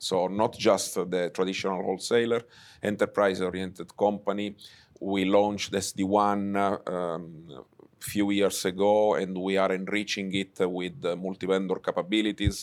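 A man with an Italian accent speaks in a fairly low pitch and a flat monotone. The recording is very clean, with a silent background. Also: moderate pace. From Sicily, Italy. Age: 50s. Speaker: telecom executive. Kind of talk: interview. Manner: hesitant, many fillers.

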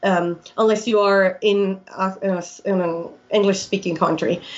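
A woman with a Colombian accent speaks at a fairly slow pace, her medium-pitched voice following a fairly even intonation. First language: Spanish. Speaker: airline pilot. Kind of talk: interview.

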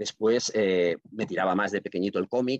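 With a Catalan accent, a man with a fairly low pitch speaks at a fairly quick pace, the sound dry and close with no echo. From Catalonia, Reus. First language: Catalan (speaking Spanish). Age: 50s. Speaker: writer and librarian. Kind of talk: podcast interview.

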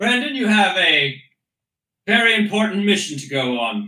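In a put-on character voice, a man speaks at a high pitch, with a slight echo around him. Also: moderate pace. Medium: actual play. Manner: formal, commanding.

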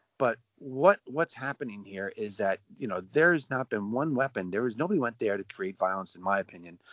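The man has an unremarkable speaking voice at medium pitch. He talks at a fairly quick pace with lively intonation. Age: 60s. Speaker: father of a jailed defendant. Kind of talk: interview.

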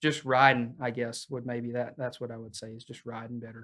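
In an American accent, a man speaks at a medium pitch and a moderate pace. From Oklahoma. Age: 20s. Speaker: rodeo team roper. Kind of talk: casual interview.

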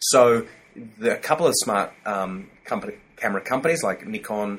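A man speaks with an Australian accent. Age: 40s. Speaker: corporate training company director. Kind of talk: interview.

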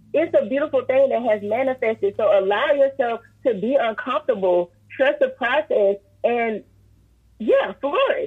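With an American accent, the speaker talks at a fairly slow pace in an animated tone with lively intonation. Noticeable background noise is present. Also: woman. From US South, Columbia, South Carolina. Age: 30s. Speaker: motivational speaker and event organizer. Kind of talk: casual faith-based interview.

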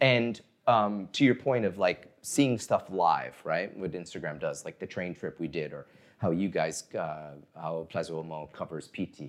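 A man speaks with a very deep, low pitch and lively intonation. His pace is fairly slow, and his loudness swings widely. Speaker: magazine editor and founder. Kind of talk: casual chat over drinks. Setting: bar or happy hour.

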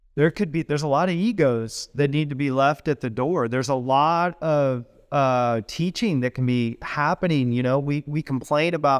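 An ordinary speaking voice with an American accent moves at a moderate pace with ordinary pitch variation. The sound is dry and close with no echo, in a very clean recording with a silent background. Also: man. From US Midwest, southwest Missouri. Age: 40s. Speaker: design executive and Marine veteran. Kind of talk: interview. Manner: casual, conversational.

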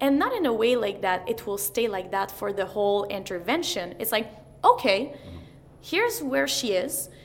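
At a moderate pace, a woman with a Quebec accent speaks using lively intonation. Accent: Québécois French-accented English. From Quebec, Montreal. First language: French. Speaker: mental performance coach. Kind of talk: interview.

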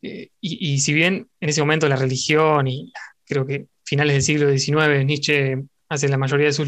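This man's delivery is fairly slow. His voice sits fairly high. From Argentina. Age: 20s. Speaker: podcaster. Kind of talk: casual chat.

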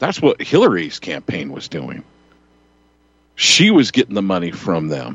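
A man talks with a Western US accent at a fairly slow pace. His loudness swings widely, and he takes long, frequent pauses. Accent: Western American. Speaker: radio host. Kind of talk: talk radio roundtable.

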